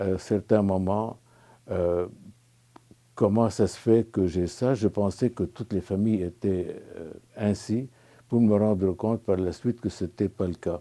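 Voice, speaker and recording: Using a Lebanese accent, a man speaks at a very slow pace with long, frequent pauses, his dark, mellow tone kept at a fairly low pitch with fairly even intonation. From Lebanon. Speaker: spiritual retreat participant. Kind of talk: testimony. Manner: halting, many hesitations.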